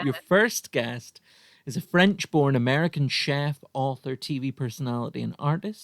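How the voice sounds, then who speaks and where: On a very clean recording with a silent background and a dry, close sound with no echo, a man speaks in an unremarkable speaking voice at a moderate pace, with fairly high pitch and ordinary pitch variation. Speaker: podcast host. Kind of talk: podcast interview.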